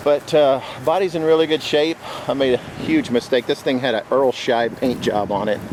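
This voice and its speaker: With an American accent, a man talks at a moderate pace in a fairly high pitch, with ordinary pitch variation and noticeable background noise. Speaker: car restoration hobbyist, air conditioning business owner. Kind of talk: casual video walkaround. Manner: casual, hesitant with fillers.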